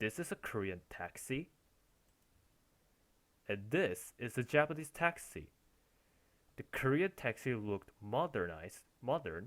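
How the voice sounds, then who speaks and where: A man with a non-native accent at a fairly slow pace, very wide pitch swings and long, frequent pauses. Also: medium pitch for a man. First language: not English. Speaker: language teacher. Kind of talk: language lesson explanation. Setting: recorded with headphones.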